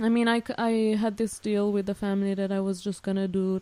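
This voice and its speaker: A woman with an Italian-Swiss accent speaks at a fairly quick pace in a monotone, flat intonation. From Switzerland (Italian-speaking). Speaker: student and former au pair. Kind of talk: casual interview.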